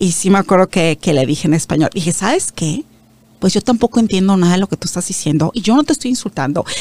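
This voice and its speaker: Speaking very fast at a medium pitch, a woman uses lively intonation in a dry, close sound with no echo. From Mexico. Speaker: media founder. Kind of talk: interview.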